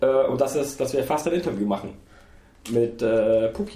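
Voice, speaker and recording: Audible echo from the room mixes with noticeable noise behind the voice. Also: man. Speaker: games podcast co-host. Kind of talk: casual chat. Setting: gamescom recording, noisy chair.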